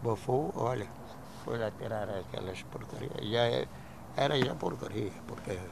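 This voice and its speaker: With a Cape Verdean accent, a man speaks at a fairly slow pace and a fairly low pitch, using lively intonation and long, frequent pauses, amid audible room echo and noticeable background noise. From Cape Verde, Santiago island. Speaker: retired immigrant miner. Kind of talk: interview testimony. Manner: halting.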